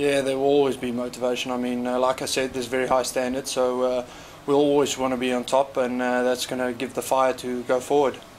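A man speaks at a very fast pace in a monotone, flat intonation. Light background noise can be heard. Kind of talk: interview answer. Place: hall.

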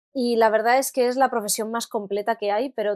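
A woman talks at a fairly quick pace in a plain, everyday voice, fairly high in pitch. Her intonation is fairly even, and the sound is dry and close with no echo. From Spain, Alicante. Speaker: singer and voice actress. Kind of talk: interview.

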